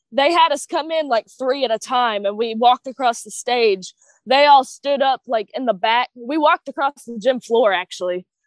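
Speaking with a Kentucky accent, a woman uses a high pitch and big swings in loudness, with a dry, close sound and no echo. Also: ordinary pitch variation, moderate pace, hardly any pauses. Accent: Kentucky Southern US. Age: young. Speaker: professional wrestler. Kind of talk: casual chat.

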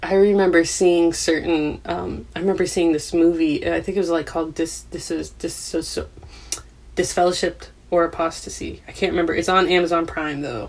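Noticeable background noise is present. Over it, a woman talks fairly quickly. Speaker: former religious member sharing her story. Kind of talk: interview. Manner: laughs often.

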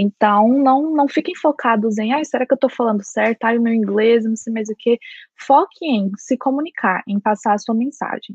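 A woman has a normal speaking voice, fairly high in pitch with ordinary pitch variation. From Brazil, Goiás. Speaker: lawyer and master's student. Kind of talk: casual chat.

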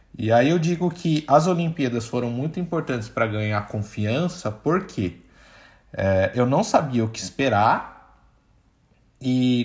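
Recorded very cleanly against a silent background, a man speaks at a fairly slow pace in a somewhat breathy voice with very wide pitch swings. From Brazil. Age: 20s. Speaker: product manager. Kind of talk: casual interview chat.

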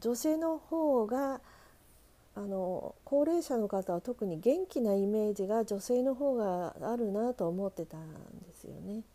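A woman's fairly high, dark, mellow voice at a very slow pace, with very wide pitch swings and big swings in loudness. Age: 50s. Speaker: podcaster. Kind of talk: casual monologue. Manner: halting, many fillers.

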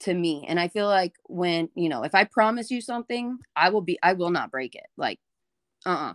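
A woman's medium-pitched voice with a Texan accent and lively intonation at a moderate pace, in a very clean, dry, close recording with no echo and a silent background. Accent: Texan American. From Texas, rural area north of Houston. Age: 20s. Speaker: fitness coach. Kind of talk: casual interview.

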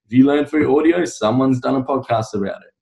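A man at medium pitch, talking at a fairly quick pace. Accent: Australian. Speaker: podcast host. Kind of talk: interview.

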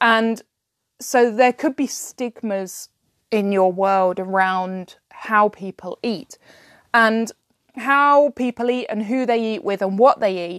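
Speaking fairly slowly with a British accent, a woman uses a medium pitch and ordinary pitch variation in a dry, close sound with no echo. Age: 30s. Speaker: fantasy writer and podcaster. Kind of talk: solo podcast talk on writing.

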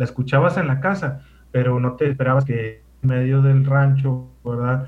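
A man speaks with a fairly high pitch and a somewhat breathy sound. Some room echo can be heard. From Mexico, Sonora (Ciudad Obregón). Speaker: radio host, guest. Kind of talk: casual chat.

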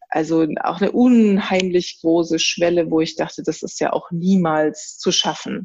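A woman with a fairly low pitch talks at a fairly slow pace with ordinary pitch variation and hardly any pauses. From Germany. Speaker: designer. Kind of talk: interview. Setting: remote call. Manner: halting.

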